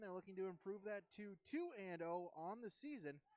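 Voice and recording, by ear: A man with a high pitch talks at a moderate pace, using ordinary pitch variation.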